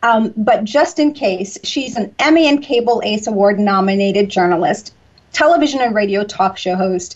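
A woman speaks with an American accent in a fairly high, somewhat breathy voice. Her intonation is lively and her pace moderate. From US South, Georgia. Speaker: radio talk show host. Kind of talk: interview. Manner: warm, repetitive and enthusiastic; laughs often.

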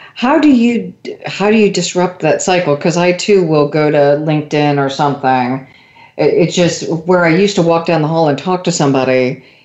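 A woman speaks in a plain, everyday voice at a fairly low pitch. Her moderate pace comes with ordinary pitch variation and very even loudness. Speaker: radio host. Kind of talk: radio interview, host questioning guest.

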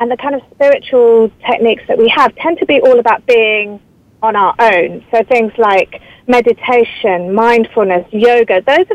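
Recorded dry and close with no echo, a woman with a British accent talks at a moderate pace in a fairly high voice with ordinary pitch variation. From England. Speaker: author and journalist. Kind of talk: interview.

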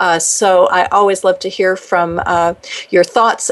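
With a plain, everyday voice, a woman talks at a fairly slow pace and a medium pitch. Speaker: radio talk show host. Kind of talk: interview. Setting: radio studio.

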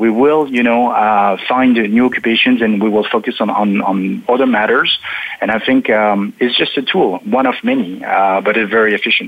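This man speaks in a French accent at a moderate pace. His pitch is medium and his intonation fairly even. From eastern France near German border. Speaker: automation technology consultant. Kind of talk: panel discussion. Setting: remote call from Paris.

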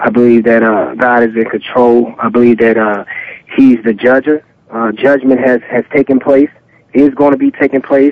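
A man with a plain, everyday voice at medium pitch, moderate pace, fairly even intonation and very even loudness. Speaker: former pro football player. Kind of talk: sports talk radio interview.

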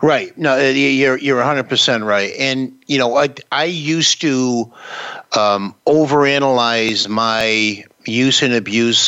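Medium pitch from a man at a fairly slow pace, over noticeable background noise. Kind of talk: live talk-radio hosting, conversational. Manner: relaxed, friendly, chatty with filler words.

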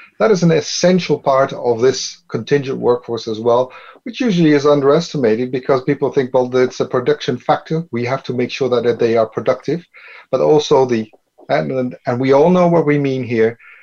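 Fairly quick speech from a man, medium in pitch, dark and mellow in tone, with ordinary pitch variation. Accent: Dutch. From Netherlands. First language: Dutch. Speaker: business consultant. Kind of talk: panel discussion.

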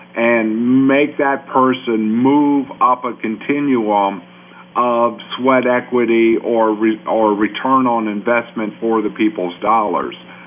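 A man's medium-pitched voice at a very slow pace, fairly even in intonation, over noticeable background noise. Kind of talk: radio interview.

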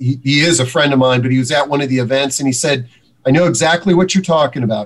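The clip has a normal speaking voice with ordinary pitch variation. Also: man. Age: 50s. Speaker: senior housing publisher. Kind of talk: interview.

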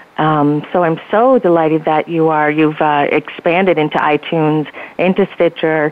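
A woman with an American accent, very deep and low in pitch, fairly even in intonation, very even in loudness, at a moderate pace. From New Jersey. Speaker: publicist. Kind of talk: conversational radio interview. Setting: phone call.

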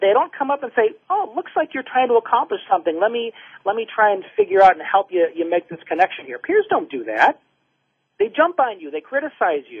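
A man's high-pitched voice at a fairly quick pace, with very wide pitch swings and big swings in loudness. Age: 30s. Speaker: clinical social worker and author. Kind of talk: radio interview.

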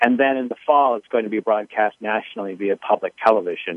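At a fairly quick pace, a man talks with a fairly low pitch in an unremarkable speaking voice. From Gettysburg, Pennsylvania. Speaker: filmmaker. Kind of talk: interview, conversational.

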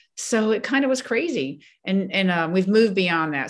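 Against a quiet background, the speaker has an ordinary speaking voice with an American accent. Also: woman. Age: 60s. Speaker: retired coast guard vice admiral. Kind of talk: interview.

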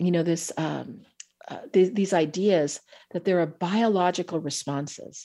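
On a very clean recording with a silent background, a woman with an American accent speaks at a fairly slow pace and medium pitch, her tone dark and mellow and her pitch variation ordinary. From US West Coast, Bay Area of California. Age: middle-aged. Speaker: trauma therapist and author. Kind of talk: interview.

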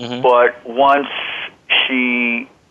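Medium-pitched man with an American accent and fairly even intonation, plus noticeable background noise. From central New Jersey. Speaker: self-help author and human potential specialist. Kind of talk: interview.

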